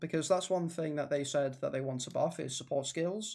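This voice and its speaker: A man with an English accent speaks at a fairly high pitch. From England. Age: 20s. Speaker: gaming streamer. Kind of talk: casual chat. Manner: fast; halting.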